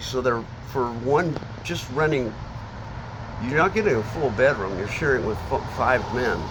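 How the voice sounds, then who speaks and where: Audible room echo and noticeable background noise accompany a man with an American accent. His medium-pitched voice has ordinary pitch variation at a moderate pace. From Seattle area, Washington. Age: 60s. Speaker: homeless man interviewed on the street. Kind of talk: street interview. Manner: halting, many fillers and restarts.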